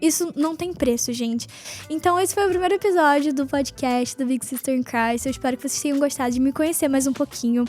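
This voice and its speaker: Fairly quick, high-pitched speech from a woman, with noticeable noise in the background. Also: ordinary pitch variation. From northern Brazil, Belém do Pará. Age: 20s. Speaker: podcast host. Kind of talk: casual faith talk. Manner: fast.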